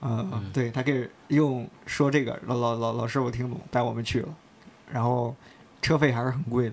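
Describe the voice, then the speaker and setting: This man has an ordinary speaking voice at medium pitch. His intonation is fairly even and his pace moderate. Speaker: office colleague at a sneaker media outlet. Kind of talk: casual chat.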